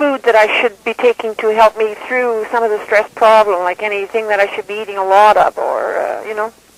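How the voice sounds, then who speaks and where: Noticeable background noise beneath fairly quick speech. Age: 60s. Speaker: caller. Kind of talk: radio call-in question.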